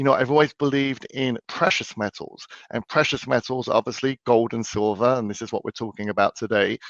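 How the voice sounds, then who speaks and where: A man speaks with an English accent. His pitch is medium, with ordinary variation. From London, England. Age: 40s. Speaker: financial expert. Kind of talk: interview. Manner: hesitant, repeats words.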